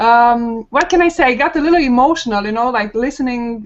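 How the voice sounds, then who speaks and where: A woman speaks with a Romanian accent. Her pitch is fairly high and her pace fairly quick. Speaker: online marketer, panel guest. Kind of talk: personal story on a webinar panel. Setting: video call. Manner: hesitant, many fillers.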